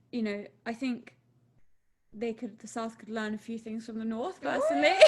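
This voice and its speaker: A woman's fairly high-pitched voice with lively intonation, at a moderate pace. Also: big swings in loudness. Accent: southern English. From southern England. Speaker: podcast co-host. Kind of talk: casual chat.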